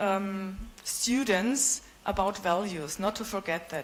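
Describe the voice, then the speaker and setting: Her pitch shows ordinary variation. The female speaker talks with a German accent. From Germany, Bavaria. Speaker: visiting professor. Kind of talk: conference presentation. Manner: hesitant, many fillers.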